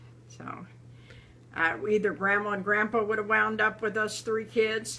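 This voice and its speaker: Her voice has a bright, sharp tone at medium pitch, with vocal fry. The woman speaks at a fairly slow pace in a monotone, flat intonation. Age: 70s. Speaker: storyteller. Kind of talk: personal storytelling. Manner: halting.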